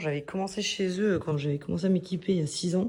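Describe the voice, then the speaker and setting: A woman speaks in a fairly low voice with a dark, mellow tone. Her pitch varies in an ordinary way. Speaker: motorcycle vlogger. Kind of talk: casual vlog. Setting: hotel room. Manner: hesitant, many fillers; whispering.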